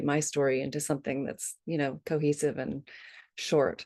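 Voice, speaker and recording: A woman's very deep, low voice with a dark, mellow tone at a moderate pace over a quiet background. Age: 60s. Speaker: grief support team member, former dancer. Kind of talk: personal sharing in group video call. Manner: halting, many fillers.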